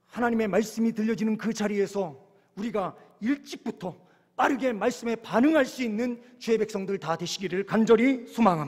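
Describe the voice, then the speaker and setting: Speaking with a Chungcheong accent, a man uses a high pitch and ordinary pitch variation. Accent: Chungcheong dialect, slow speech. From Korea, Chungcheong (Yesan). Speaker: pastor. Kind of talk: sermon. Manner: slow; occasional stammer.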